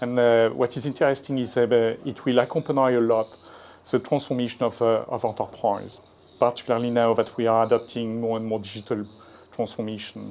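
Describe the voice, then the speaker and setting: A man speaks at a fairly quick pace with a French accent, his pitch medium. His intonation is monotone and flat, and the recording is very clean with a silent background. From France. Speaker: industry analyst. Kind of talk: conference presentation. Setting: conference stage with audience. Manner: halting, many fillers.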